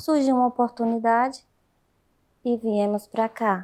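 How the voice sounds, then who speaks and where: A woman's voice with fairly even intonation. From Brazil. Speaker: canteen worker. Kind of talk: interview.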